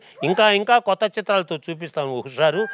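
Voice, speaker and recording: A man talks while noticeable background noise sits behind him. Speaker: rhyming comedy speaker. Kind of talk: rhyming speech at a film event. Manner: humorous, rhythmic.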